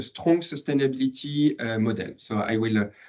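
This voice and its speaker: The speaker is a man with a medium pitch. He talks with a French accent. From France. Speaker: PhD researcher, former marketing manager. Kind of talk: academic presentation. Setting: lecture room with online audience. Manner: halting, many fillers.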